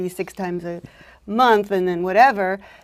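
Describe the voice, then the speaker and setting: The recording is very clean, with a silent background. A woman talks at a moderate pace and a medium pitch. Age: 70s. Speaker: senior talking about her marriage. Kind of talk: interview.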